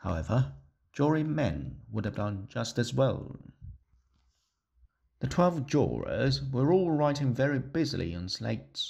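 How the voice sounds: A man speaks at a slow pace with big pitch swings around a medium pitch, his voice showing vocal fry, a slightly mellow tone and a slightly husky edge.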